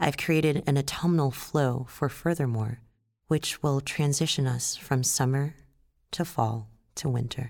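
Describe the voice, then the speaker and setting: A woman's very deep, low voice with a calm, soothing tone, very even loudness, fairly even intonation and a fairly slow pace, on a very clean recording with a silent background. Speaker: yoga instructor. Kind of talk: guided yoga instruction. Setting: audio guided class.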